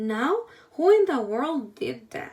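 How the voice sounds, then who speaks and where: In a put-on character voice, a woman speaks high with very wide pitch swings. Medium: read story.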